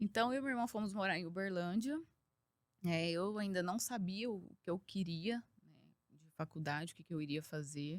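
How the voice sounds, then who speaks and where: Her pitch medium and her pitch variation ordinary, a woman talks at a fairly slow pace. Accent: Minas Gerais. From Brazil, Minas Gerais (Triângulo Mineiro). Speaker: engineer and executive. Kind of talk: podcast interview.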